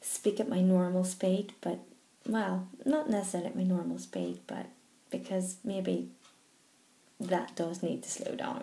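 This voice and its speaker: A woman's voice carries audible room echo. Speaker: stammering charity trustee. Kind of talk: personal video message. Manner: slow, controlled; stammer.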